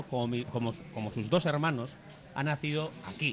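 The speaker has an ordinary speaking voice and a fairly quick pace. Pitch variation is ordinary. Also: man. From Durango, Basque Country. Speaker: football talk show panelist. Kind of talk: casual chat. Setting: live show with audience in a bar.

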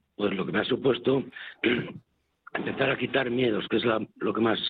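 At a moderate pace, a man talks in a medium pitch. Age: 60s. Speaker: former soup kitchen user, now volunteer. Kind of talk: testimony. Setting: on location at a soup kitchen.

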